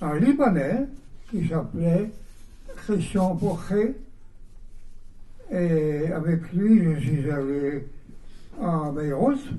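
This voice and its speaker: A man's voice, pitched fairly high, carries an audible echo from the room. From Belgium, Mons. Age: 80s+. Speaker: composer. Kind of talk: interview answers. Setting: bookshop event with audience.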